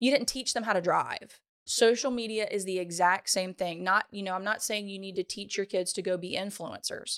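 Speaking in a Louisiana accent, a woman of medium pitch keeps a moderate pace with hardly any pauses, on a very clean recording with a silent background. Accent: Southern US (Louisiana). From US South, Louisiana (Ponchatoula). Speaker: social media educator. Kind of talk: casual interview. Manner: animated.

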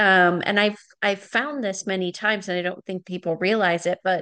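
With an ordinary speaking voice, a woman talks at a medium pitch with fairly even intonation. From Wisconsin, US Midwest. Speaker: podcast host. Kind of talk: casual interview chat.

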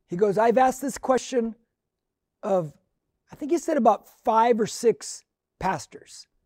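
A woman speaks fairly slowly at a fairly high pitch, her dark, mellow tone carried by lively intonation. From Mexican heritage. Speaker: pastor. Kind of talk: sermon. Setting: online stream due to pandemic.

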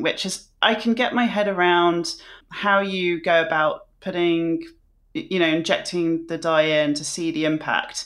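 The pitch of this woman's voice is fairly low, with ordinary variation. It is an ordinary speaking voice. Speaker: podcast host. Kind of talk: interview conversation.

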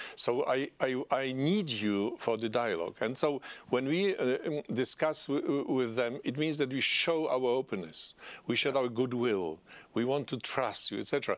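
Speaking at a moderate pace with lively intonation, a man with a Polish accent and a medium pitch comes through in a very clean recording with a silent background. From Poland. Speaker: politician. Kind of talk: interview. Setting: studio. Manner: halting.

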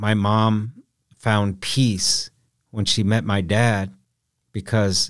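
Against a silent background on a very clean recording, a man speaks at a very slow pace. His pitch is fairly low and his intonation monotone and flat. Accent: American. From US Midwest, Council Bluffs, Iowa. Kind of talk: interview conversation.

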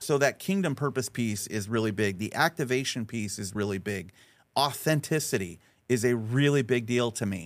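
On a very clean recording with a silent background, a man with a plain, everyday voice speaks at medium pitch and a moderate pace, his intonation lively. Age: 50s. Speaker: strategist and speaker. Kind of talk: interview. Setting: studio.

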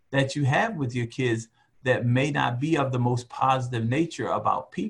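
At a moderate pace, a man with an American accent sounds somewhat breathy. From US, West Baltimore, Maryland. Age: 50s. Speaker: retired military officer and father. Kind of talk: casual interview.

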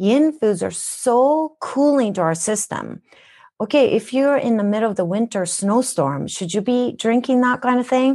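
Her voice is high for a woman, with a dark, mellow tone, lively intonation and a moderate pace over a quiet background. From Japan. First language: Japanese. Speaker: wellness educator. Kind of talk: interview.

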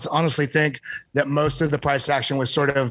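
A fairly high-pitched man amid noticeable background noise. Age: 30s. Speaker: crypto trader. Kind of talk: casual chat.

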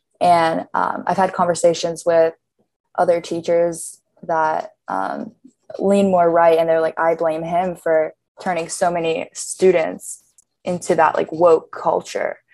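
This woman has a fairly low pitch and an American accent. She talks at a fairly slow pace in a monotone, flat intonation. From Pittsburgh, US. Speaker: college student. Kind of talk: interview.

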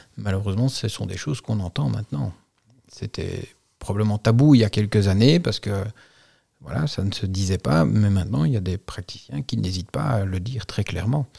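A man with a fairly low pitch and a dark, mellow tone sounds somewhat breathy. He talks at a fairly quick pace with lively intonation. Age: 40s. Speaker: insurance broker and business owner. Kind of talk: interview.

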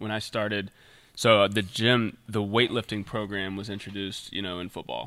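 In a normal speaking voice, a man with a fairly low pitch talks at a moderate pace, his loudness swinging widely. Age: 20s. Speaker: natural bodybuilder and supplement sales director. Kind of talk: casual chat.

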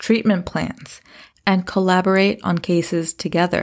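In a very clean recording with a silent background, a woman with a normal speaking voice and medium pitch talks at a fairly slow pace. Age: 30s. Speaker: podcast host. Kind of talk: solo podcast monologue.

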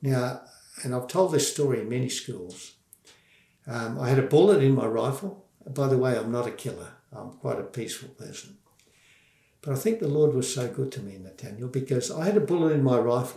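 With an Australian accent, a man speaks at a fairly quick pace in a dark, mellow, somewhat breathy tone, his loudness swinging widely. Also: medium pitch for a man, lively intonation. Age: 70s. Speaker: former children's pastor and war veteran. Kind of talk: testimony.

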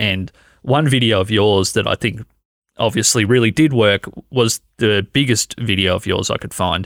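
A man with an Australian accent speaks at a fairly low pitch with ordinary pitch variation, recorded in a dry, close sound with no echo. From Australia, Canberra. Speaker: podcast host. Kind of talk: casual chat. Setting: video call.

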